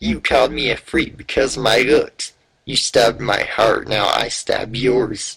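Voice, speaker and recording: A man does a put-on character voice. His pace is moderate. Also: medium pitch for a man. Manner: menacing.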